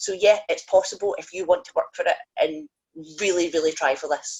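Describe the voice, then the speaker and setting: A woman speaks in a Scottish accent. Her pitch is medium and her pace is moderate. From Scotland. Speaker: professional wrestler. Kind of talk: casual chat. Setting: video call.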